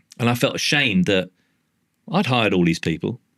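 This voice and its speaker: A man with a London accent talks at a fairly quick pace in an animated tone, his medium pitch swinging very widely. The recording is very clean, with a silent background. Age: 60s. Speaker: artist and former advertising executive. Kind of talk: podcast interview. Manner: animated, casual with frequent swearing.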